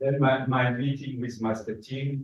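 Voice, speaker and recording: In a room with audible echo, a man speaks at a very slow pace and medium pitch in a somewhat breathy voice. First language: French. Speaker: memorial speaker. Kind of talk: memorial tribute speech. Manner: halting.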